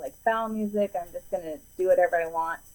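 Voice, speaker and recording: At a very fast pace, a woman delivers her words. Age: 30s. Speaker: podcast guest, preacher's daughter. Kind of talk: casual interview conversation. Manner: chatty, lots of fillers.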